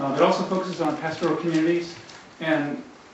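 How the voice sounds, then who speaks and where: Through audible room echo and noticeable background noise, a man talks at a fairly quick pace, fairly high in pitch, with ordinary pitch variation. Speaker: government development official, panel speaker. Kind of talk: conference panel presentation. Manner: hesitant, many fillers.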